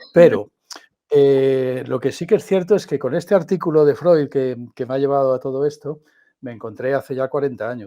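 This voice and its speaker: Speaking at a moderate pace, this man has a fairly high pitch and a dark, mellow tone. His pitch varies in an ordinary way. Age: 60s. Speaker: philosopher and podcast host. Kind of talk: conversational interview. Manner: halting.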